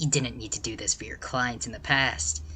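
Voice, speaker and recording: With clear background noise, a man puts on a character voice at a medium pitch. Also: moderate pace. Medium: game stream.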